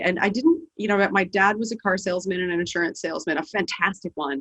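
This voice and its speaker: A woman's voice at medium pitch and a moderate pace. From Canada, Edmonton, Alberta. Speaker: business leader. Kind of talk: podcast interview. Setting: call.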